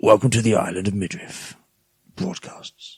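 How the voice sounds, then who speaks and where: A man speaks in a put-on character voice at a medium pitch. His pace is moderate. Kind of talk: broadcast announcer style. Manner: affected, put-on.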